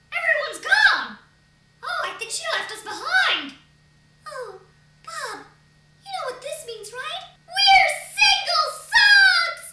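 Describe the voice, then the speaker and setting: A cartoonish character voice at an extremely high pitch and a very slow pace. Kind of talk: comedy sketch voices. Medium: puppet.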